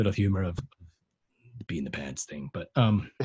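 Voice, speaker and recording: Somewhat breathy and fairly low-pitched, a man speaks at a fairly quick pace with lively intonation in a dry, close recording with no echo. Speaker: podcast co-host being interviewed. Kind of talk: casual interview chat. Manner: hesitant, many fillers.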